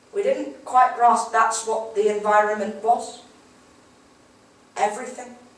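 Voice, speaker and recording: Speaking at a fairly slow pace, a woman is heard against noticeable background noise. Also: long, frequent pauses, big swings in loudness. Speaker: slam poet. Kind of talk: spoken word poetry performance.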